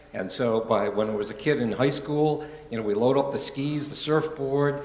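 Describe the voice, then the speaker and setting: With an American accent, a man talks at a moderate pace with ordinary pitch variation, audible room echo and noticeable background noise. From Rhode Island, US New England. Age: 70s. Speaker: church member giving life story talk. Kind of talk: personal testimony talk. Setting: church gathering, live-streamed.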